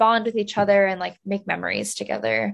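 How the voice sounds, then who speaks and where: With a New Jersey accent, a woman talks at a medium pitch against a quiet background. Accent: American, New Jersey. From US, New Jersey. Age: 20s. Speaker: travel content creator and author. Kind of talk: interview.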